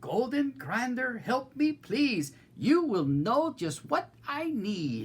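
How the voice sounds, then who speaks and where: A put-on character voice, fairly high in pitch, at a very slow pace with very wide pitch swings. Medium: read story.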